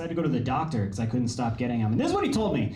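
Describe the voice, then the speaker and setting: Audible room echo and noticeable background noise surround a man speaking with an American accent. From California. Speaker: stand-up comedian. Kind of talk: stand-up. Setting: stage with audience.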